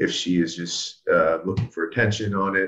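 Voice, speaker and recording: A man with an American accent at a moderate pace. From Pittsburgh, then North Carolina. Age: 30s. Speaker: reality TV show contestant. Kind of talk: casual interview. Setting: video call.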